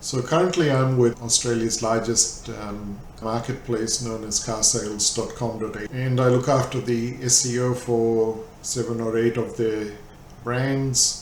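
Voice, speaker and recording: Audible room echo surrounds a man at medium pitch. He speaks at a fairly slow pace with fairly even intonation. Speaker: SEO manager. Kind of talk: lecture.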